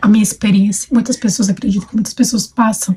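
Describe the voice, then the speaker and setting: A woman's medium-pitched voice sounds somewhat breathy, with a dark, mellow tone. Her intonation stays fairly even. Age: 20s. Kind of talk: personal testimony. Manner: hesitant, many fillers.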